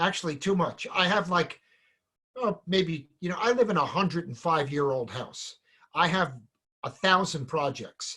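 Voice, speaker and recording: A man's high voice with a bright, sharp tone and a New Jersey accent, at a moderate pace with ordinary pitch variation. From New Jersey, Point Pleasant. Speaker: salon business educator. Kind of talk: casual chat.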